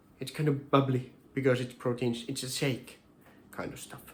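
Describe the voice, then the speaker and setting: Speaking at a moderate pace and medium pitch, a man has a Finnish accent. His voice is somewhat breathy, with monotone, flat intonation. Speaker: home cooking vlogger. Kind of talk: casual cooking tutorial. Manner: halting, many repetitions and fillers.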